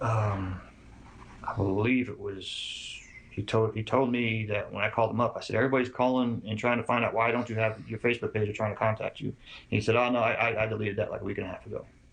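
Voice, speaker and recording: Somewhat breathy and very fast, a man speaks at a medium pitch with monotone, flat intonation. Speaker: father of a murder victim. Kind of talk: interview answer.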